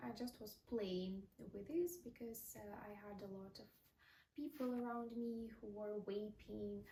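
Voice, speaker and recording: A woman with a non-native accent speaks at a fairly high pitch and a fairly slow pace, somewhat breathy, with ordinary pitch variation. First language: not English. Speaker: vlogger. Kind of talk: casual monologue. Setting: talking to a mirror on camera. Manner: unscripted, with fillers.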